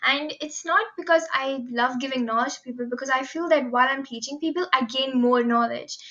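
A woman's high, raised, projected voice at a fairly quick pace with hardly any pauses, ordinary pitch variation, and noticeable background noise. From India, Mumbai. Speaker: university student club president. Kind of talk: podcast interview. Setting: remote recording at home.

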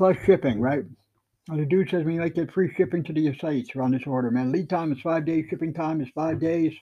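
A man with a fairly high voice, ordinary pitch variation and a fairly quick pace. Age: 60s. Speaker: amateur livestream host. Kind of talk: casual monologue. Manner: animated.

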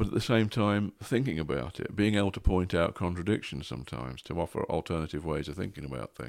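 A man with a very deep, low voice and vocal fry talks at a very fast pace. His intonation is lively and he hardly pauses. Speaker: guest, therapist or coach. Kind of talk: casual interview chat.

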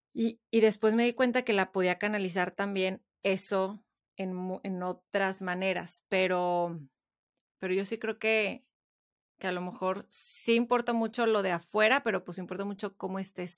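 Fairly even intonation and a moderate pace in an unremarkable speaking voice. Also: woman, very clean recording, silent background. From Mexico. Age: 30s. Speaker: podcaster and writer. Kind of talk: interview conversation.

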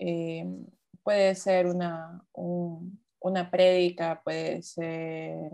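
A woman's dark, mellow voice, fairly low in pitch. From Ecuador. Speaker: podcast co-host, designer. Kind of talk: casual chat.

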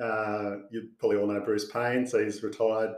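Speaking with an Australian accent, a man talks at a moderate pace and a medium pitch. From Sydney, Australia. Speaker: financial adviser. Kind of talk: casual interview.

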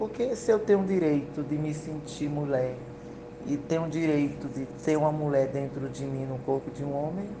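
A woman with a very deep, low pitch and ordinary pitch variation speaks at a moderate pace amid noticeable background noise and audible room echo. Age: 40s. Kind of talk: interview.

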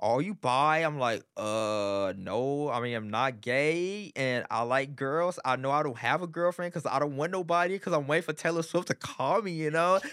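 A man speaks in an animated tone with lively intonation, at a moderate pace with hardly any pauses. The recording is very clean, with a silent background. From Texas, Arlington area. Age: 20s. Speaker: street dancer and promoter. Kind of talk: casual interview.

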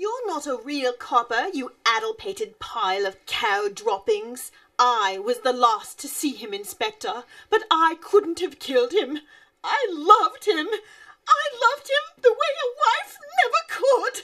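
An extremely high-pitched voice moves at a moderate pace with very wide pitch swings. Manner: insulting, then melodramatic.

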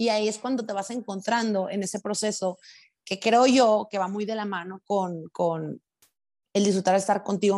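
A woman's medium-pitched voice in a northern Mexican accent, at a moderate pace with ordinary pitch variation, over a quiet background. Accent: northern Mexican (norteña). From Mexico, Sinaloa (Los Mochis). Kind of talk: casual chat.

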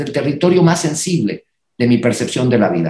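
Lively in intonation, a man speaks somewhat breathy at a fairly high pitch. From northern Mexico, Reynosa, Tamaulipas. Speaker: choreographer and dance company director. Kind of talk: casual chat.

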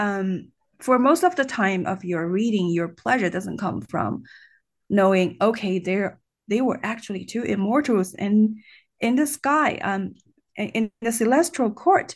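Against a quiet background, a woman with a Chinese accent speaks at a fairly slow pace and medium pitch, her intonation lively. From China. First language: Mandarin Chinese. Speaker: college teacher and online video host. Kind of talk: interview.

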